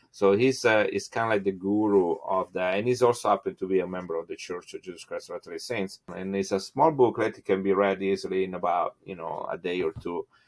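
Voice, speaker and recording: A man with an Italian accent at a very fast pace, hardly any pauses and big swings in loudness, in a dry, close sound with no echo. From Italy. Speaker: geneticist. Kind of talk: interview. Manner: halting, many fillers.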